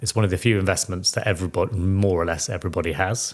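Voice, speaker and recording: A man with a Welsh accent and fairly low pitch at a very fast pace, in a very clean recording with a silent background. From Wales. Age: 40s. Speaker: financial planner. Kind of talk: podcast interview. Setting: at home, kitchen.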